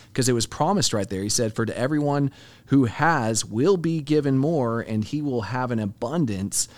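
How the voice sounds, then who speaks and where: A man with a plain, everyday voice, medium in pitch, with an American accent, lively intonation and a moderate pace, on a very clean recording with a silent background. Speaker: podcast co-host. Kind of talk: casual Bible discussion.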